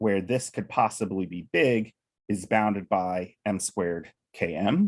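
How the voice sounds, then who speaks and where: In a very clean recording with a silent background, a man with an ordinary speaking voice talks fairly slowly at a fairly low pitch, his pitch varying in an ordinary way. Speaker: mathematician. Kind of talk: lecture.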